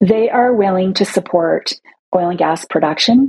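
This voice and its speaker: A woman with a Canadian accent has a plain, everyday voice, fairly low in pitch. She speaks at a moderate pace with ordinary pitch variation. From Toronto, Canada. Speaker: CEO of a women's advocacy organization. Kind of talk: interview.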